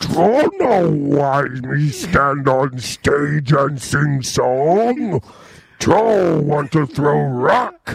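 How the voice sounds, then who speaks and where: At a very slow pace, a man uses a put-on character voice. His pitch is fairly high. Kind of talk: broken simple speech. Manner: dumb, clumsy.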